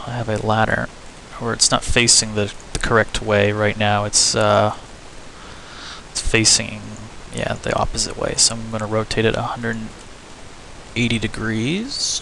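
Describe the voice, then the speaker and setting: Noticeable background noise behind a male voice of medium pitch, moderately paced. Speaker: game level design tutorial maker. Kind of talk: screen-recorded tutorial. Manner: hesitant, many fillers; self-admitted stuttering.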